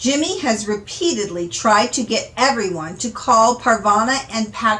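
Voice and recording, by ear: A natural voice reading aloud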